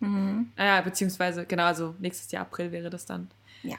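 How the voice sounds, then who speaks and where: A woman's fairly low voice at a fairly quick pace. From Germany. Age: 20s. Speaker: podcast co-host, student. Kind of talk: casual chat.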